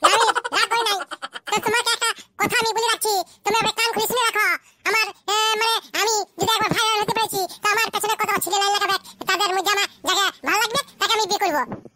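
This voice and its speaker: A woman's cartoonish character voice, squeaky and extremely high, at a very fast pace with fairly even intonation. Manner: sharp, sarcastic.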